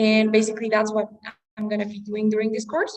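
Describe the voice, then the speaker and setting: Pitched fairly high, a woman speaks with a Spanish accent. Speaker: English teacher. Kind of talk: online class.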